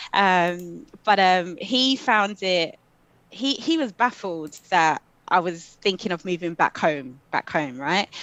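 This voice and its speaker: A woman in a London accent speaks with very wide pitch swings. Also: quiet background. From London, England. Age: 40s. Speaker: coach and social worker. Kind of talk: interview.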